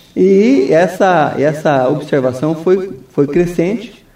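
Audible room echo surrounds a man speaking at a very slow pace. His high pitch carries lively intonation and a dark, mellow tone. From Brazil, Foz do Iguaçu (Paraná). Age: 50s. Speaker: mayoral candidate, lawyer. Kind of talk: radio interview. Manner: hesitant, many fillers.

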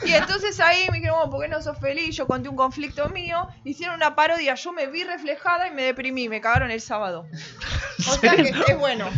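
Very fast, high-pitched speech from a woman over noticeable background noise. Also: lively intonation. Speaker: comedy radio show co-host. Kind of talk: casual chat.

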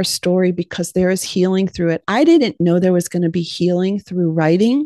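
With an American accent, a woman uses a normal speaking voice at medium pitch and fairly even intonation, recorded with a dry, close sound and no echo. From Ohio, US Midwest. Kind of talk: testimony.

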